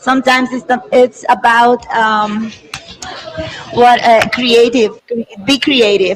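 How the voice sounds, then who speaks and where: Someone with a Spanish accent talks at a very slow pace over noticeable background noise. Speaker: event host. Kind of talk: live stream presentation. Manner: halting.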